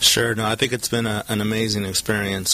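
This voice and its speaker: There is noticeable background noise around a man with an American accent and a fairly low voice. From Southern California. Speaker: HR executive. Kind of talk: interview. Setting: studio.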